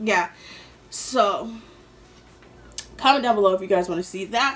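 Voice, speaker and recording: There is noticeable background noise in this clip. The woman's pitch varies in an ordinary way. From New York City, later Atlanta. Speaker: YouTuber. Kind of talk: storytime vlog. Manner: casual, filler-heavy.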